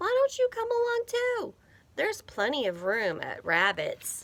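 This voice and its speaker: A woman's squeaky, put-on character voice at an extremely high pitch and moderate pace. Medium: read story.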